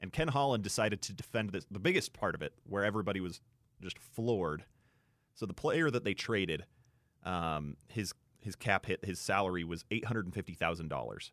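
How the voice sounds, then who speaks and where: This man has an ordinary speaking voice, pitched fairly low, with lively intonation. The sound is dry and close with no echo. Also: fairly quick pace. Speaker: radio sports co-host. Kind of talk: casual radio sports banter. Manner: laid-back, conversational.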